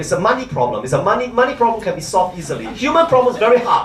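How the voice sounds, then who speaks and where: Someone talks at a very fast pace with noticeable background noise behind them. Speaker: conference speaker on biobanking. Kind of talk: conference lecture. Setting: conference hall with audience.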